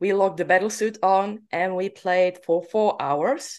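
A woman with a Czech accent speaks at a fairly slow pace. Her pitch is medium and her intonation fairly even. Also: quiet background. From Czech Republic. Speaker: laser tag player and podcaster. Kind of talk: casual interview chat. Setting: remote call.

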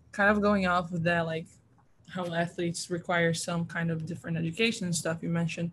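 A woman speaks at a moderate pace in a fairly low pitch, with an American accent. Her intonation is monotone and flat, and her voice is somewhat breathy. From outside the US. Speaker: student athlete, interviewer. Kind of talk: interview.

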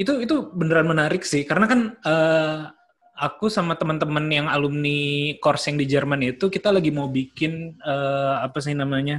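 Using a plain, everyday voice, the man keeps a moderate pace and ordinary pitch variation. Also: fairly high pitch for a man. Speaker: podcast host. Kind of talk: casual interview. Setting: video call.

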